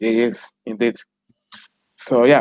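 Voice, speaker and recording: A man with a Portuguese accent speaks at a medium pitch. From Mozambique. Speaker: podcast host. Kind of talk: interview.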